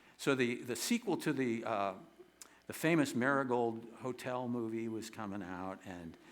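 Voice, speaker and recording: Against audible room echo, a man speaks at a moderate pace with ordinary pitch variation. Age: 70s. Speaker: singer-songwriter performer. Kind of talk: storytelling monologue on stage. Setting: theater stage with audience. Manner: halting, many repetitions and fillers.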